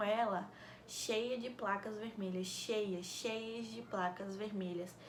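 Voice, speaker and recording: Soft-spoken and fairly high-pitched, a woman talks very slowly with fairly even intonation, against noticeable background noise and audible room echo. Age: young. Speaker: vlogger, mother. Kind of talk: casual Q&A vlog.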